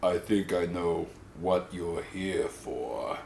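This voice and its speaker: Over clear background noise, a man uses a put-on character voice. He speaks at a very slow pace. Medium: short film. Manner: exaggerated, comic.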